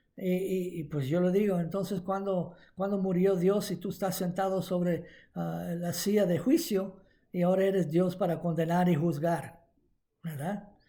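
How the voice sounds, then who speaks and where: A man with high pitch and a dark, mellow tone, at a fairly slow pace, amid audible room echo. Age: 70s. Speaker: preacher. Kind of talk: sermon. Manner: halting.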